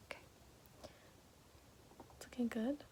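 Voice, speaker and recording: Soft-spoken, this woman has a gentle tone. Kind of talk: ASMR makeup roleplay, soft-spoken tutorial to the listener. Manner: soft-spoken, gentle, slow.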